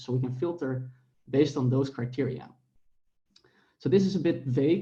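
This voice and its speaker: A man speaks at a very fast pace in a medium pitch with ordinary variation. His tone is dark, mellow and somewhat breathy, with audible room echo. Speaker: academic researcher presenting a paper. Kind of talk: conference paper presentation.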